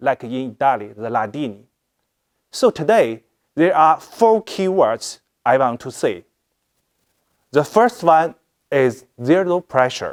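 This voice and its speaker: A man speaks at a fairly slow pace with long, frequent pauses and very wide pitch swings. The recording is very clean, with a silent background. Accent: Chinese. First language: Chinese. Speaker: fashion product director. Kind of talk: presentation. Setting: live stream. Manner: halting.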